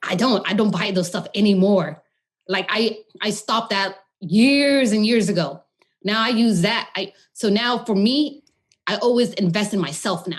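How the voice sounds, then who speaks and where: A somewhat breathy woman talks at a moderate pace. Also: medium pitch for a woman, ordinary pitch variation. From California, Modesto; Khmer-American family. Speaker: holistic nutritionist. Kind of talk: podcast interview.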